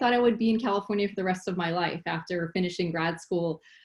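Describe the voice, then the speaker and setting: Somewhat breathy woman with a Philadelphia accent, medium pitch, ordinary pitch variation, very clean recording with a silent background. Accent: American, Philadelphia. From Philadelphia, US. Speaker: biotech executive and scientist. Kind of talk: panel talk.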